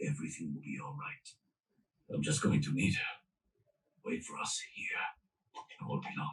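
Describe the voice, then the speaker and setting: A man puts on a cartoonish character voice with a very deep, low pitch. He leaves long, frequent pauses. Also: moderate pace. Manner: firm, authoritative.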